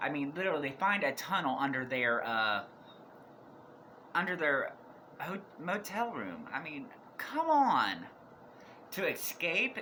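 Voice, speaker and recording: Audible room echo surrounds a man's voice. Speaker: YouTuber reviewing horror movies. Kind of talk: casual video review. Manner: rambling, halting with restarts.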